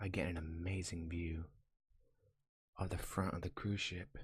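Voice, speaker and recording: This soft-spoken man has a gentle tone and a very deep, low pitch, sounding somewhat breathy and delivering his words in a monotone, flat intonation. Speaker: ASMR reader / YouTube channel host. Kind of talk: first-person comedic story narration. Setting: binaural microphone recording. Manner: soft-spoken, gentle.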